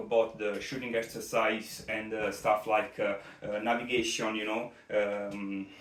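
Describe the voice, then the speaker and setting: In an Italian accent, a man of medium pitch speaks at a moderate pace with monotone, flat intonation and audible room echo. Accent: Italian accent, non-native English. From Italy. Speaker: competitive shooter, gear reviewer. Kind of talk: product review. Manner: halting, many fillers.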